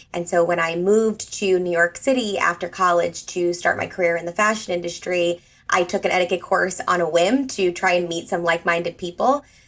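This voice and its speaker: A woman with a normal speaking voice talks at a fairly quick pace with hardly any pauses. Her pitch is fairly low and her intonation fairly even. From US Northeast. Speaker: etiquette trainer. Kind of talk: podcast interview.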